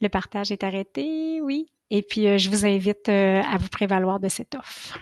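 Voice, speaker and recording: A woman speaks with a Quebec accent and lively intonation. The sound is dry and close with no echo, over a quiet background. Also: medium pitch for a woman. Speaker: marketing consultant, speaker. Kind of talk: Q&A answers; webinar presentation. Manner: fast; hesitant fillers (euh).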